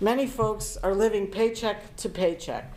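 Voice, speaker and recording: At a moderate pace, a woman speaks at a medium pitch with fairly even intonation, and audible room echo. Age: 60s. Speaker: town board of finance member. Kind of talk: public meeting statement. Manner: formal.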